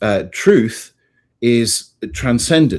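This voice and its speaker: Here a man speaks with an English accent at a medium pitch. His tone is dark and mellow, and his pitch varies in an ordinary way. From England. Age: 50s. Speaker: priest and author. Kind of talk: interview.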